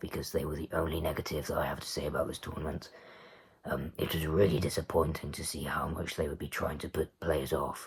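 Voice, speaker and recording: A man's very deep, low voice with noticeable background noise. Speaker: darts commentator vlogger. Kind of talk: casual monologue review. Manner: halting, many fillers.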